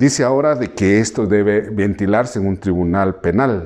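Fairly low in pitch, a man speaks with a dark, mellow tone. His pace is moderate and his pitch variation ordinary. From Guatemala, Maya K'iche' people. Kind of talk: interview testimony. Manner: hesitant, many fillers. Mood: earnest, concerned. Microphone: lapel.

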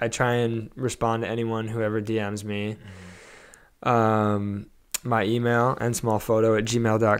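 A man with a Californian accent talks at a fairly slow pace and medium pitch. His intonation is monotone and flat, over a quiet background. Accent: General American (Californian). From Los Angeles (Studio City); Los Angeles. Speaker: photographer and cinematographer; podcast guest. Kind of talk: interview, casual conversation. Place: home room. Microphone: handheld.

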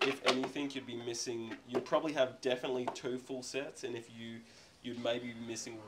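There is noticeable noise behind the man as he talks at a moderate speed. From Australia. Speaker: seller at garage sale. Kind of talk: casual chat. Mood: relaxed, chatty. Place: garage. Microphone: phone near.

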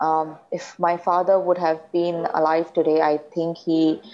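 A woman's fairly low voice with an Indian accent. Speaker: daughter of slain police officer. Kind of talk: testimony. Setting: remote video link. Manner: halting. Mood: somber, reflective. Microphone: lapel.

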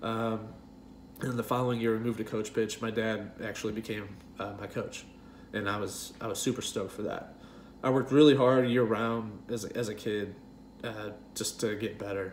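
With light background noise, a man in an American accent speaks with monotone, flat intonation. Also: medium pitch for a man, moderate pace. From US Midwest, St. Louis area. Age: 30s. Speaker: YouTuber telling personal story. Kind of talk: personal talk to camera. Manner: hesitant with many fillers. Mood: nostalgic, relaxed. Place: kitchen. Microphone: webcam.

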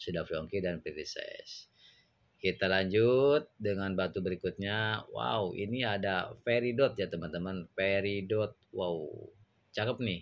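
Very slowly, a man speaks at a fairly low pitch. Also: ordinary pitch variation. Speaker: gemstone seller. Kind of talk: sales pitch, pitchman-style product showcase with exclamations of praise. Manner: animated, excitable, repeating 'wow' and 'mantep' with hard-sell enthusiasm. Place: shop. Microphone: phone near.

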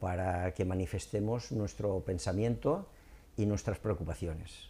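The voice has a dark, mellow tone, moving at a fairly slow pace with ordinary pitch variation. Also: man. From Torrent, Valencia, Spain; Valencia, Spain. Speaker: local politician; local party spokesman. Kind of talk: interview. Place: studio. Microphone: lapel.

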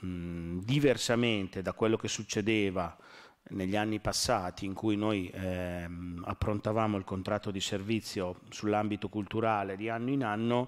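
Against a quiet background, a man with an ordinary speaking voice talks at a moderate pace, fairly low in pitch, with fairly even intonation. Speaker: deputy mayor at council meeting. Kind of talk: formal council presentation. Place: hall.

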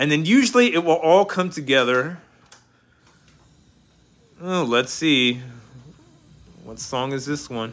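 A man speaks slowly, with long, frequent pauses. His tone is fairly bright and his intonation lively. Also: fairly high pitch for a man.

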